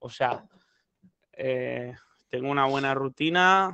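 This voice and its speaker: A man talks at a fairly high pitch. The sound is dry with no echo, over a quiet background. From Spain. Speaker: rapper; interview guest. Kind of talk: casual chat. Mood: relaxed, joking. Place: home room. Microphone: headset.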